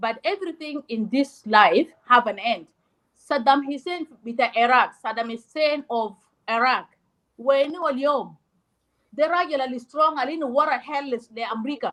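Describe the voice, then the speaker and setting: A woman talks loudly in a high pitch with lively intonation. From South Sudan. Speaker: discussion participant. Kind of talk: heated debate.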